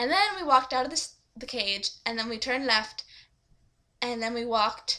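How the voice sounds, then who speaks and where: This woman's voice is high-pitched, with a bright, sharp tone. She talks at a moderate pace, and her pitch varies in an ordinary way. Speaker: vlogger. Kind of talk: casual vlog. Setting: webcam recording. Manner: animated.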